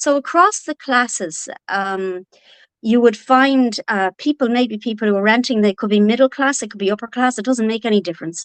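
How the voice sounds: A woman with a northwest Irish accent speaks at a fairly high pitch, recorded with a dry, close sound and no echo. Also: ordinary pitch variation, moderate pace. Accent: Irish, from the north-west.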